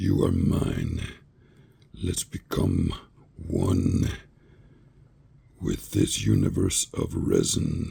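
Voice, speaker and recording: A man's put-on character voice, menacing in tone, at a very slow pace with long, frequent pauses. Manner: creepy, menacing.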